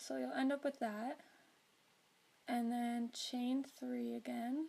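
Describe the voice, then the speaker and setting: A woman speaks quietly. Her pace is very slow. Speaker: crocheter. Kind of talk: crochet tutorial narration.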